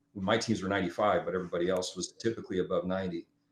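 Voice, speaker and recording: This is a man speaking with a Midwestern American accent. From US Midwest, South Omaha, Nebraska. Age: 60s. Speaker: youth football coach. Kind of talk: casual chat.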